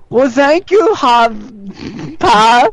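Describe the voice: Pitch sits fairly high. It is a put-on character voice.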